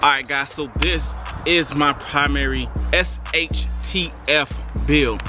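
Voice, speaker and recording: A man is speaking with music playing behind him. The sound is dry, with no echo. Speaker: gun channel host. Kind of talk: product review vlog. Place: open country. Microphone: phone near.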